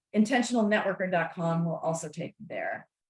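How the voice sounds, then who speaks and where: An animated woman's voice at a fairly quick pace, with ordinary pitch variation. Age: 60s. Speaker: author and networking speaker. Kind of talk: podcast interview.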